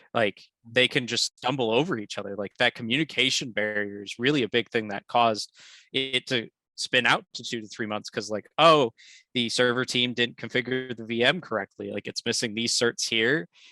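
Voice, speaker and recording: A man's medium-pitched, fairly even voice, dry and close with no echo, over music in the background. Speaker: devops architect presenting at meetup. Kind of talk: technical presentation and Q&A. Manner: fast; casual, many fillers.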